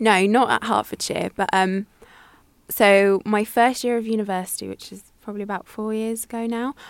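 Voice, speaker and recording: Loudness swings widely as a woman speaks at a moderate pace in a flat, monotone way. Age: 20s. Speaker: journalism student. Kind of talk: casual chat. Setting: radio studio.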